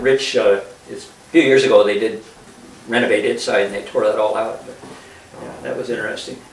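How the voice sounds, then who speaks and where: An American man speaks at a fairly quick pace with long, frequent pauses and big swings in loudness. The room echo is audible, and there is noticeable background noise. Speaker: longtime local resident. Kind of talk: reminiscing interview. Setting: filmed group conversation. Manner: hesitant.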